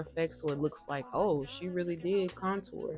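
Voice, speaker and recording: Noticeable background noise sits behind a woman's fairly low voice. She talks at a moderate pace. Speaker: beauty vlogger. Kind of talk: makeup tutorial voiceover. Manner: casual, chatty.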